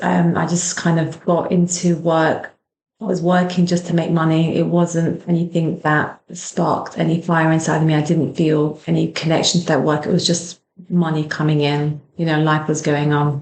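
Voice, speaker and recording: A woman with a British accent talks at a moderate pace in a fairly low, monotone, flat voice with very even loudness. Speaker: clinical hypnotherapist. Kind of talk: personal story, podcast monologue. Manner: compassionate, gentle.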